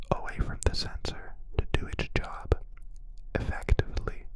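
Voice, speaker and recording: Whispering over noticeable background noise. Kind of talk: ASMR whispered voice-over narration. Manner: whispered.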